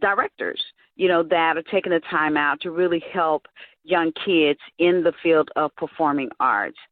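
A woman with a fairly low pitch and an unremarkable speaking voice, moderate in pace, with ordinary pitch variation. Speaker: nonprofit founder and event MC. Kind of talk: interview.

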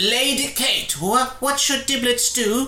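A put-on character voice, high-pitched and very slow, with a slight echo. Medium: actual play. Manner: laid-back, casual, chill.

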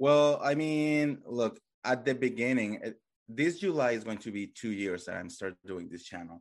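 A man's medium-pitched voice in a Colombian accent, lively in intonation, at a moderate pace. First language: Spanish. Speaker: YouTuber reality TV commentator. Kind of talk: casual podcast interview.

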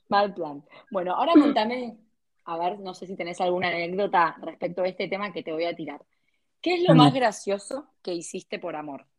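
A woman with an Argentine accent speaks at a moderate pace and medium pitch. Her loudness swings widely while her pitch varies in an ordinary way. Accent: Rioplatense Argentine Spanish. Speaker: podcast co-host. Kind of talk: casual chat.

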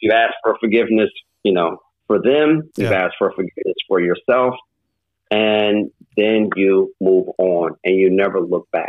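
A man with an American accent speaks at a moderate pace and fairly low pitch. His pitch varies in an ordinary way, and his loudness stays very even. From St. Louis, Missouri. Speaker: former police detective and security entrepreneur. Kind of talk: casual interview.

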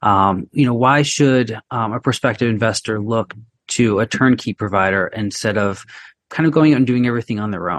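A man talks in a normal speaking voice at medium pitch and a moderate pace, with ordinary pitch variation. The sound is dry and close with no echo, against a quiet background. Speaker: podcast co-host, real estate professional. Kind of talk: interview questions, conversational. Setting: Boston.

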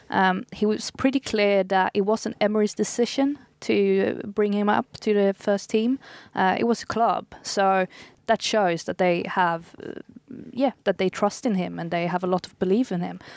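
With a Swedish accent, a woman speaks at a medium pitch and moderate pace with ordinary pitch variation, in a dry, close, echo-free sound on a very clean recording with a silent background. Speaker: football journalist. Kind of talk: casual panel chat.

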